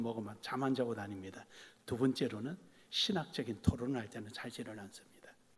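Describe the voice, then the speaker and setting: Here a man talks in a Gyeongsang accent. His pace is moderate. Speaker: pastor. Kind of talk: sermon.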